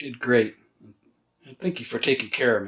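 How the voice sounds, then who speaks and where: A man does a put-on character voice, raspy and soft-spoken at a medium pitch. He goes at a fairly quick pace with big swings in loudness. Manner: soft, gentle.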